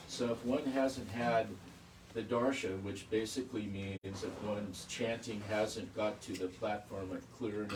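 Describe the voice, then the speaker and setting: A man speaks with fairly even intonation, and the room echo is audible. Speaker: devotee asking a question. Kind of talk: question from the audience. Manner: loud.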